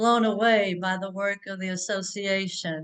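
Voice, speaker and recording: Fairly slow and at medium pitch, a woman talks in a South Louisiana accent with monotone, flat intonation. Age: old. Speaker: religious sister.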